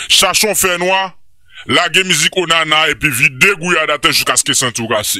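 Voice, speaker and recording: The man's voice is high in pitch. Its pitch variation is ordinary. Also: moderate pace. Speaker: YouTube commentary host. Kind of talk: monologue commentary video.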